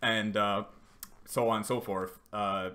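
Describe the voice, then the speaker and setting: A man with an American accent speaks at a fairly low pitch in a bright, sharp tone. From US South. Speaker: streamer. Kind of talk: casual chat. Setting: live stream.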